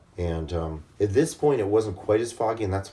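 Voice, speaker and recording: A man with a very deep, low pitch and a dark, mellow tone talks fairly quickly, somewhat breathy. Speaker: video blogger. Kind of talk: casual storytelling. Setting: hotel room.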